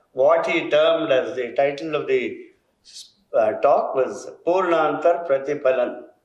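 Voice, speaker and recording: Audible echo from the room surrounds a man talking at a fairly slow pace. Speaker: educator. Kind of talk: ceremonial speech.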